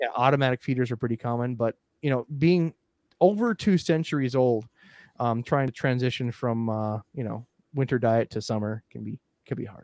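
A man with an American accent talks at a moderate pace, medium pitch and ordinary pitch variation. The very clean recording has a silent background and a dry, close sound with no echo. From central Minnesota, US. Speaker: aquarium podcast host. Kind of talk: casual chat; storytelling, partly reading. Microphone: good audio.

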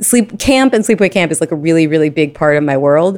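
In an American accent, this woman speaks with a very deep, low pitch. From New York, Brooklyn. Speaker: amateur cyclist with type 1 diabetes. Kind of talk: interview.

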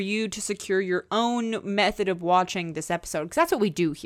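A woman with a normal speaking voice talks at a medium pitch with lively intonation in a very clean recording with a silent background. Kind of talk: casual chat.

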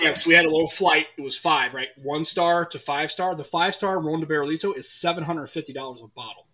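A man with a fairly high pitch speaks very fast with hardly any pauses, fairly even intonation and big swings in loudness, over noticeable background noise. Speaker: podcast host. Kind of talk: casual chat.

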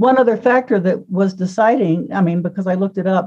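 Here a woman speaks at medium pitch with ordinary pitch variation. Her tone is dark and mellow. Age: 70s. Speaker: book editor. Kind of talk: casual chat.

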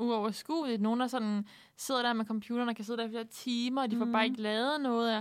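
A woman talks at a very fast pace and a fairly high pitch with monotone, flat intonation. The recording is very clean, its background silent. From Southern Jutland, Denmark. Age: 20s. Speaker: university student, radio guest. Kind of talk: casual chat. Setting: studio.

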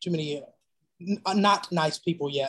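A man with an American accent talks at a fairly high pitch with ordinary variation. The sound is dry and close, free of echo. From Mississippi, US South. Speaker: infectious disease pharmacist. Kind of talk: panel discussion.

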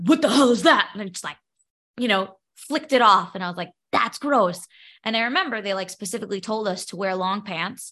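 A woman talks very fast at a medium pitch, her tone bright and sharp. Her intonation is lively and her loudness swings widely against a quiet background. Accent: New York. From New York, Brooklyn. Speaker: podcaster and special education teacher, Lyme patient. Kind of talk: interview.

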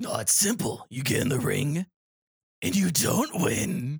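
Put-on character voice, middle in pitch, delivered fairly slowly. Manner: smug, dismissive.

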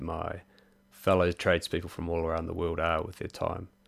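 A very deep, low-pitched man with a New Zealand accent, in a very clean recording with a silent background. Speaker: podcast host. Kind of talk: casual interview.

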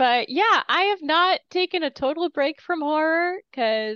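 A woman speaks at a fairly slow pace with very wide pitch swings. The sound is dry and close with no echo, against a quiet background. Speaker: podcast co-host. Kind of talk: casual chat.

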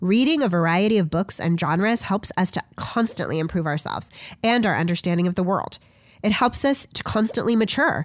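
A woman talks at a fairly quick pace with lively intonation and medium pitch. It is a normal speaking voice on a very clean recording with a silent background. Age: 30s. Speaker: podcast host and substitute teacher. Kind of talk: solo commentary monologue. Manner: formal.

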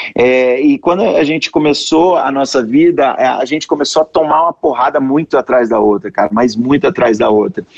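Dry and close with no echo, the clip has a man with an unremarkable speaking voice and fairly high pitch talking at a moderate pace, with very even loudness and ordinary pitch variation. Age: 30s. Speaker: sales expert. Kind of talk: interview. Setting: remote streaming call. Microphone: poor streaming audio quality.

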